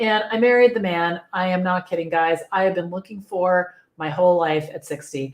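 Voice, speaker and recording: A woman's medium-pitched voice at a moderate pace. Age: 60s. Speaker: virtual assistant business coach. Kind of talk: live webinar presentation. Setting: live stream. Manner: animated.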